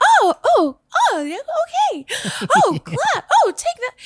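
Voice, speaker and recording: A put-on character voice, bubbly and extremely high, plays out at a fairly slow pace. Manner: bubbly, expressive, up and down.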